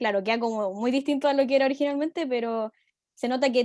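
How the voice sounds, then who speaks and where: The recording is dry and close with no echo as a woman talks at a fairly quick pace in a high pitch with fairly even intonation. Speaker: university student. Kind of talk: class discussion. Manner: fast.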